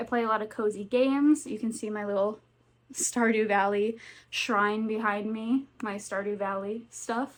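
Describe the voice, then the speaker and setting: Recorded very cleanly against a silent background, a woman with a slight Southern US accent talks at a fairly slow pace in a fairly high voice with fairly even intonation. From US South, North Carolina. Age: 20s. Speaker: booktuber. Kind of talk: casual vlog chat. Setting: home with cats.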